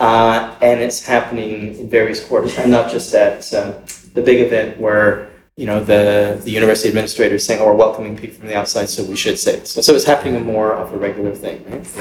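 A man talks at a very fast pace in a somewhat breathy, medium-pitched voice with monotone, flat intonation and big swings in loudness. Audible room echo surrounds the speech. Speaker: artist, writer and cultural organizer. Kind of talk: recorded dialogue before a small live circle. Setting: university room with a small audience. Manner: conversational, frequent tag questions.

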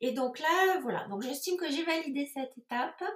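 A woman is speaking. Her pace is very slow. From southern France, Toulouse area. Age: 50s. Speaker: entrepreneur. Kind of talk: interview. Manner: hesitant, many fillers.

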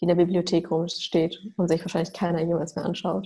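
The voice has a dark, mellow tone and vocal fry. It moves at a moderate pace with monotone, flat intonation. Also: woman. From Germany, Mülheim an der Ruhr near Düsseldorf. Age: 30s. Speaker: doctor specializing in nutrition. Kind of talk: interview.

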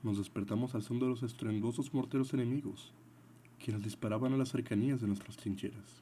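A man at a medium pitch, somewhat breathy and dramatic in tone, at a fairly quick pace with fairly even intonation and very even loudness. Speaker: podcast host and story narrator. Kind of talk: scripted dramatic narration, reading a soldier's diary aloud in first person. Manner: dramatic, earnest and patriotic, formal.

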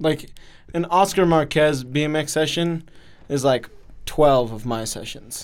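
Fairly high in pitch for a man, this ordinary speaking voice moves at a fairly slow pace with ordinary pitch variation. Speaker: podcast co-host. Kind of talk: casual chat.

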